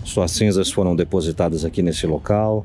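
A man at a moderate pace, dry sound with no echo, light background noise behind him. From São Paulo, Brazil (Zona Leste); São Paulo, Brazil. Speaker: paranormal investigator youtuber. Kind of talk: paranormal investigation vlog. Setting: outdoors near a crematorium. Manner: animated. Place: forest. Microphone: phone near.

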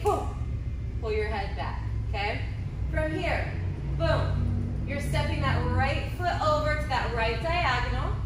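A woman talks at a fairly slow pace. Loud background noise and audible room echo come through. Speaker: dance teacher. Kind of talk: tutorial. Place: hall. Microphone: camera far.

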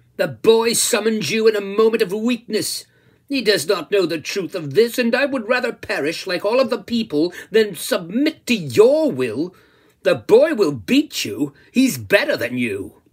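A man puts on a shrill character voice, high-pitched, at a moderate pace. The recording is very clean, with a silent background. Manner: scornful, defiant.

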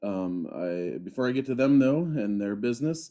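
Lively intonation from a man with a dark, mellow tone, moderate in pace, over a quiet background. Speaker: podcast host. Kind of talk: podcast intro. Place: home room.

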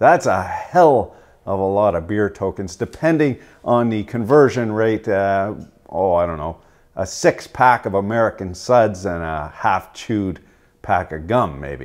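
In a quiet background, a man with a fairly low pitch speaks at a fairly slow pace. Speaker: tool reviewer. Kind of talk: casual tool review commentary. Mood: dry sarcastic humor. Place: workshop.

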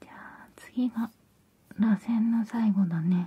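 A soft-spoken woman whispers at a very slow pace. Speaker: ASMR creator. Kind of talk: soft ASMR roleplay talk. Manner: soft ASMR whisper. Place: home room.

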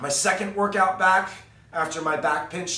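The room echo is audible. A man speaks at a moderate pace. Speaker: fitness vlogger. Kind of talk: casual vlog chat. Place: garage. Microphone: camera far.

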